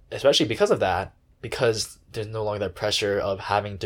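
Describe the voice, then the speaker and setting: On a very clean recording with a silent background, a man talks at a very fast pace, his fairly low, somewhat breathy voice showing ordinary pitch variation. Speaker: podcast host. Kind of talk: casual chat.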